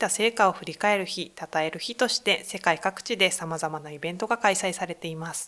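A woman's medium-pitched, bright, sharp voice at a moderate pace, with ordinary pitch variation, on a very clean recording with a silent background. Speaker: gender equality center staff. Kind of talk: interview. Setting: studio.

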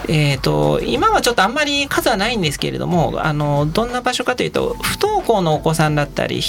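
With music in the background, a man's speech moves at a fairly quick pace. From Tokyo, Japan. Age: 40s. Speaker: taxi driver. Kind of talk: radio interview. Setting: studio. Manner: measured, filler-heavy.

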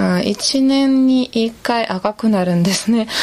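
Speaking very slowly, a woman uses a fairly high pitch with ordinary pitch variation. She has a Russian accent, and noticeable background noise is present. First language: Russian (speaking Japanese). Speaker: tour guide and interpreter. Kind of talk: recorded field interview. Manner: halting, with many fillers.

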